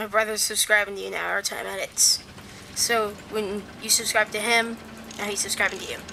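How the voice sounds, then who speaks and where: Amid noticeable background noise, a woman speaks at a fairly high pitch in a monotone, flat intonation. Her pace is fairly quick, broken by long, frequent pauses. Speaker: gaming livestreamer. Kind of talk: casual livestream commentary. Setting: livestream from computer. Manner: hesitant, many fillers.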